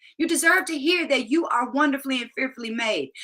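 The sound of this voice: Her tone bright and sharp, a woman speaks with lively intonation.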